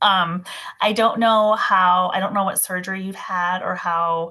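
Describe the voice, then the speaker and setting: The voice has a bright, sharp tone, fairly even intonation and an American accent against a quiet background. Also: woman. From Minnesota, US Midwest. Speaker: massage therapist. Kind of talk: casual expert chat. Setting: video call.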